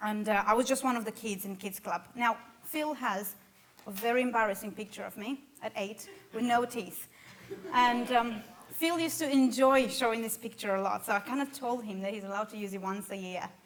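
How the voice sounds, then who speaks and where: Speaking at a fairly quick pace with a Romanian accent, a woman uses a fairly high pitch and ordinary pitch variation. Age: 20s. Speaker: church member sharing life story. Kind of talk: testimony.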